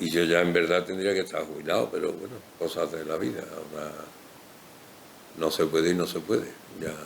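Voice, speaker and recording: Very deep and low, a man's voice moves at a fairly quick pace with fairly even intonation. Long, frequent pauses come often. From Seville, Andalusia, Spain. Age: 60s. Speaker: village doctor. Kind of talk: interview.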